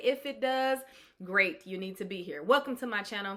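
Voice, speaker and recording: With a normal speaking voice, a woman talks at a moderate pace and with lively intonation. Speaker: public speaking coach, world champion public speaker. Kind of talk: channel intro, upbeat promotional pitch. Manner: conversational, candid, upbeat.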